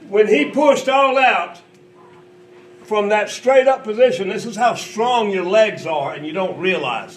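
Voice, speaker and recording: A man with a high voice for his sex speaks with lively intonation and big jumps in loudness over noticeable background noise. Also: fairly slow pace. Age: 60s. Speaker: company founder demonstrating fitness machine. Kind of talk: coaching demonstration. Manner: instructive, encouraging.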